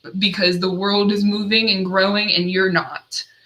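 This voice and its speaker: Speaking at a moderate pace over noticeable background noise, a woman uses a medium pitch. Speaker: addiction recovery counselor. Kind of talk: solo livestream talk. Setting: livestream.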